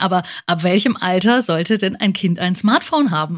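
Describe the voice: Against a silent background in a very clean recording, a woman speaks at a moderate pace and a fairly low pitch. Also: lively intonation.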